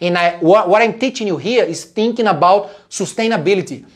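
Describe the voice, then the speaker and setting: With a Portuguese accent and an animated tone, a man speaks at a fairly quick pace. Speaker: fitness coach. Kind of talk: live stream talk.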